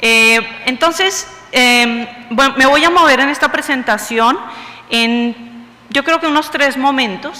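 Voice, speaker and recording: In a Bogotá accent, a woman projects a raised, high voice at a very slow pace with very even loudness, with audible room echo and noticeable background noise. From Bogotá, Colombia. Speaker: university vice-rector, lecturer. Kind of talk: lecture.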